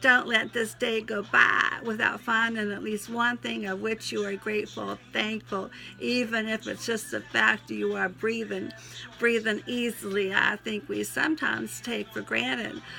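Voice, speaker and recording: A raspy, put-on Southern US accent character voice from a woman, moderately paced, with music in the background. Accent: Southern US twang. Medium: solo performance. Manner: folksy, sentimental, interrupted by sneezes.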